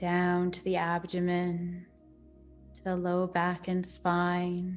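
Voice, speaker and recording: A calm, soothing tone with monotone, flat intonation at a very slow pace, with music in the background. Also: woman, fairly low pitch for a woman. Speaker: yoga nidra and meditation teacher. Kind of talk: guided yoga nidra meditation. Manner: slow, calm, soothing.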